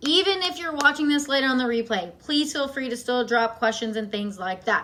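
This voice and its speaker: Raised, projected voice at a fairly quick pace over noticeable background noise. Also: woman. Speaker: marching band fundamentals coach. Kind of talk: live-stream tutorial. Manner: fast; casual, chatty.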